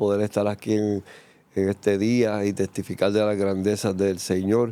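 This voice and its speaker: Speaking at a moderate pace, a man with a fairly low pitch and a dark, mellow tone keeps a monotone, flat intonation. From Puerto Rico, San Juan. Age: 60s. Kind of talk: testimony interview.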